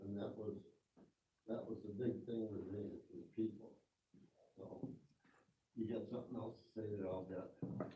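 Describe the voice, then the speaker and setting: A man speaks at a moderate pace in a somewhat breathy voice with a dark, mellow tone and fairly even intonation, taking long, frequent pauses amid audible room echo. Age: 80s+. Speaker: retired tractor plant employee. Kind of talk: audience Q and A talk.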